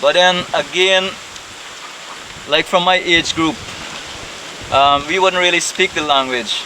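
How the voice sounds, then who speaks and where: A man with a high pitch and ordinary pitch variation speaks at a fairly slow pace amid noticeable background noise. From Guyana, Pomeroon Arawak community. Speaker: village chief. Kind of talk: interview. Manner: hesitant, many fillers.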